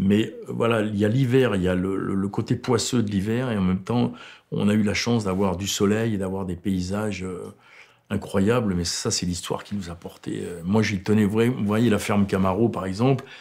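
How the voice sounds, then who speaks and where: His pitch sits fairly low and varies in an ordinary way. The man keeps a moderate pace. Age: 60s. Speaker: film director. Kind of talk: interview. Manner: halting.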